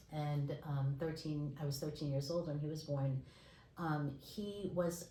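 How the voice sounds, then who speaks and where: A woman with an American accent, very deep, low pitch and fairly even intonation, with audible room echo and noticeable background noise. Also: fairly slow pace. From New York, Brooklyn. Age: 60s. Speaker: speech pathologist and textile artist. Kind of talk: interview.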